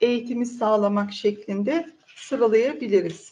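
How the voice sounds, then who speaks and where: At a moderate pace, a woman speaks in a high voice. Her pitch varies in an ordinary way. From central Turkey, Ankara Polatlı. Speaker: head of a women's community initiative. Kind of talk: interview. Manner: hesitant, frequent filler sounds.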